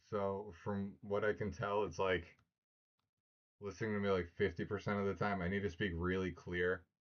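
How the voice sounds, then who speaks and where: A man speaks at a moderate pace with a fairly low pitch. His intonation is flat and monotone, and his loudness stays very even. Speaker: tech streamer testing an AI assistant. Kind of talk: live stream.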